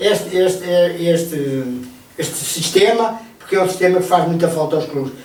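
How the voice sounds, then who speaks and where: High in pitch with ordinary variation, a man speaks at a moderate pace. Audible room echo and noticeable background noise fill the recording. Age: 60s. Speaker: retired sports association administrator. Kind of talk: radio interview. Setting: radio studio. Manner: halting, many repetitions.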